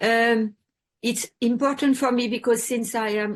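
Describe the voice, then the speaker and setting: A woman with a French accent and fairly even intonation. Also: quiet background. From France. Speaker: support group member and sponsor. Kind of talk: sharing in a support group meeting. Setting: video call. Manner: halting.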